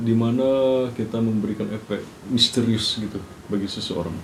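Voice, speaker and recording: Audible room echo surrounds a man speaking at a medium pitch. His pace is moderate, with ordinary pitch variation. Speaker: podcast co-host. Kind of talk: casual chat.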